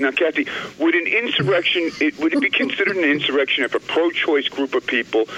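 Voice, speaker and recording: Noticeable background noise runs under a man whose intonation is lively. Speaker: caller. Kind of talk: radio call-in. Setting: phone call.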